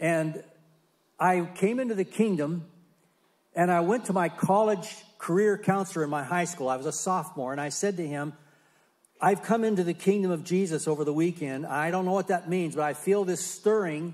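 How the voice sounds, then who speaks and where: A high-pitched man at a moderate pace, ordinary in pitch variation, with long, frequent pauses. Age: 70s. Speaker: missionary. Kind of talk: testimony. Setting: church.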